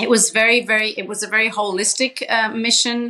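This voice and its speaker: A woman with a slight Australian accent speaks at a fairly high pitch. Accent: slight Australian twang. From Papua New Guinea, Swiss parents. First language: Pidgin English and English, Swiss family. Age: 40s. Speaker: social entrepreneur, charity founder. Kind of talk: podcast interview.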